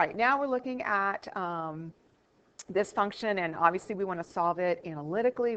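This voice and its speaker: Lively in intonation, a woman with a medium-pitched voice speaks at a fairly quick pace. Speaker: math teacher. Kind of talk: lecture. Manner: fast.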